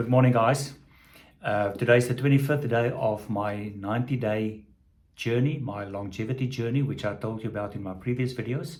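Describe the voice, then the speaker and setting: In a room with audible echo, a man of medium pitch speaks at a moderate pace, somewhat breathy and with fairly even intonation. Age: 60s. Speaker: vlogger on health and longevity. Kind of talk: casual video diary. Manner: halting, many fillers.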